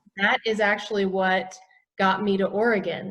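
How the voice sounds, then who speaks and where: This woman has an American accent and a medium pitch. She talks at a fairly slow pace. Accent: faint Southern US, comes out occasionally. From US South, south Georgia. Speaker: naturopathic physician. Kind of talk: interview.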